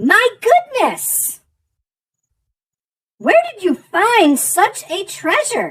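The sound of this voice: In a put-on character voice, the speaker croaks at an extremely high pitch, moving at a very slow pace with long, frequent pauses.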